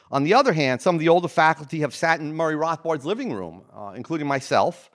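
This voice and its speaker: Using an American accent, a man speaks with a fairly high pitch and ordinary pitch variation. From New Jersey. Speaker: economics professor, academic dean. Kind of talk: welcome speech. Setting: stage with audience. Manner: halting.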